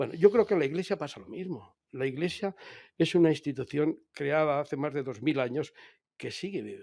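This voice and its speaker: Recorded very cleanly against a silent background, a man speaks with a fairly high pitch and a dark, mellow tone. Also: ordinary pitch variation, moderate pace, big swings in loudness. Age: 70s. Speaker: author. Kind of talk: interview. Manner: hesitant.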